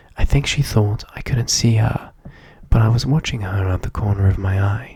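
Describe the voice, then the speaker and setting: Soft-spoken and whispering, the voice moves at a moderate pace. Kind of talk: soft-spoken ASMR story reading. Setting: ASMR recording setup. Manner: soft-spoken, whispery.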